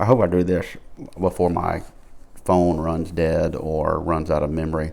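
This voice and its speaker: A man speaks with a Southern US accent at a very deep, low pitch, his intonation fairly even. Audible room echo surrounds his voice. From Alabama. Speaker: pipe smoking vlogger. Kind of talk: casual monologue. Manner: slow; low energy.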